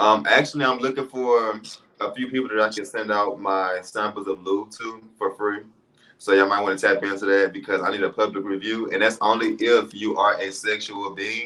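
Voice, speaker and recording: His intonation fairly even, a man speaks in a fairly low voice. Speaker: reality TV personality and small business owner. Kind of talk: live interview, casual chat. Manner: fast.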